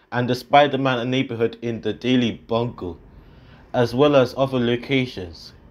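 At a moderate pace, a man speaks in an ordinary speaking voice with a medium pitch. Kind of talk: game trailer voice-over.

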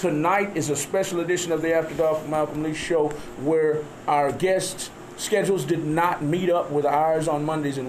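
A man's fairly high voice at a fairly quick pace, with fairly even intonation and noticeable background noise. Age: 50s. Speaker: radio host. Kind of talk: casual chat. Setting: studio.

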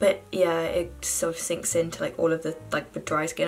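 Faint music plays in the background as a woman talks very fast in a British accent. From London, England. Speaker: university student. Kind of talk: casual makeup tutorial talk to camera. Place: home room. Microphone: phone near.

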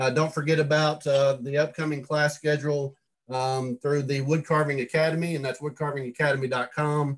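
Somewhat breathy and fairly high in pitch, a man talks at a fairly quick pace with monotone, flat intonation. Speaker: club meeting host. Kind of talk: meeting announcements. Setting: video call.

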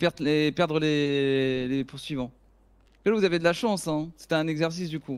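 This man has an unremarkable speaking voice with a fairly high pitch. He talks at a moderate pace with ordinary pitch variation. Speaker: gamer in roleplay. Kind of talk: roleplay gaming stream.

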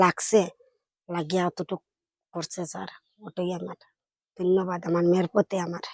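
In a dry, close recording with no echo, a woman with a fairly low pitch speaks in a flat monotone while her loudness swings widely. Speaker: student's mother. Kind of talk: interview.

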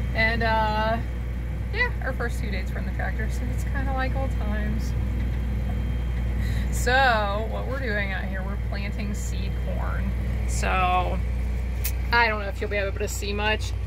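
Over loud background noise, a woman speaks at a fairly slow pace with long, frequent pauses. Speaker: farm wife vlogger. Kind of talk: casual vlog chat. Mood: cheerful, playful. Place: farm machine. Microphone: phone near.

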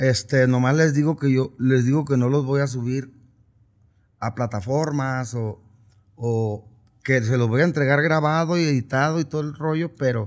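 Against a quiet background, a man speaks at medium pitch and a moderate pace with fairly even intonation. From Sinaloa, Mexico. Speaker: regional Mexican singer; interviewee. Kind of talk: casual interview. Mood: relaxed, reflective. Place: studio. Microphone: studio mic.

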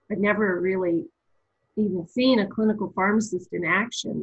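A woman with a somewhat breathy voice speaks at a moderate pace with fairly even intonation against a quiet background. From eastern Canada, Nova Scotia. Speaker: pharmacy professor. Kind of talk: interview. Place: home room. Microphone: webcam.

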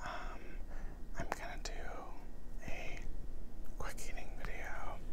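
A man speaks at a very slow pace. Loud background noise fills the recording. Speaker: ASMR creator. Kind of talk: ASMR eating show. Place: home room. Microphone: lapel.

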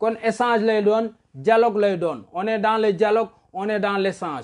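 A man's high-pitched voice at a fairly slow pace, against a quiet background. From Senegal. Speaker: historian and commentator. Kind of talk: political commentary monologue. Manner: loud.

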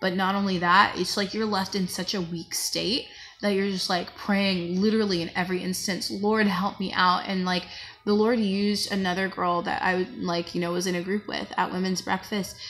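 A woman's voice at a moderate pace, with monotone, flat intonation. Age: 20s. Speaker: vlogger. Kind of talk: personal vlog testimony. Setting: at work on a break. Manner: halting. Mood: reflective, subdued, candid. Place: home room. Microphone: phone near.

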